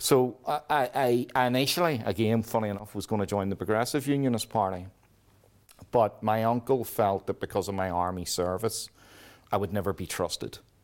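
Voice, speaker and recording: A man with a Belfast accent, fairly low in pitch with ordinary pitch variation, at a fairly quick pace. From Northern Ireland. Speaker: army veteran and peace activist. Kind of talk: interview. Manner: halting.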